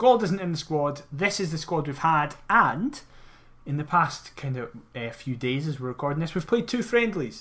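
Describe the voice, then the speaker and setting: With a Scottish accent, a man speaks at a fairly high pitch and a moderate pace, his tone bright and sharp. His pitch swings very widely, and he pauses long and often. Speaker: football podcast host. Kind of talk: casual chat.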